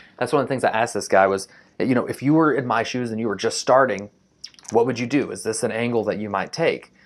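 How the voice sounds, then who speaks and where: The speaker uses an animated tone with ordinary pitch variation at a fairly quick pace. Long, frequent pauses break up the speech. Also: man. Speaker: real estate entrepreneur vlogger. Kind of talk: casual vlog. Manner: fast.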